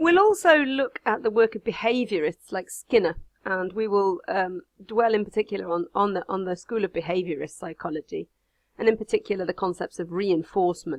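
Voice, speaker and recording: A woman talks at a medium pitch, her pitch varying in an ordinary way. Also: fairly quick pace. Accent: English Midlands. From English Midlands. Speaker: university lecturer. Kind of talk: recorded online lecture.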